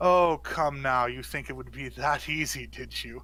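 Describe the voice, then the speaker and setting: Using a put-on character voice, a man speaks at a moderate pace in a very clean recording with a silent background. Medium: actual play. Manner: smooth, persuasive.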